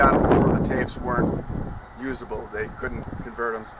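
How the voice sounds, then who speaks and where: With noticeable background noise and audible room echo, a man speaks at a medium pitch in a monotone, flat intonation. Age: 20s. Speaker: YouTuber telling life story. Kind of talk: personal storytelling vlog. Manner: casual with frequent fillers.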